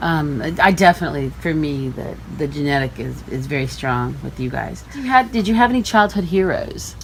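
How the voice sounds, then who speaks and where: A woman at a fairly quick pace with hardly any pauses, big swings in loudness, and noticeable background noise. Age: 50s. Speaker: family member interviewer. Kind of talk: family oral history interview.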